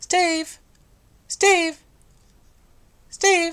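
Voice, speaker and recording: Using a squeaky put-on character voice, a woman speaks at an extremely high pitch. Her intonation stays monotone and flat. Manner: sweet, polite, light.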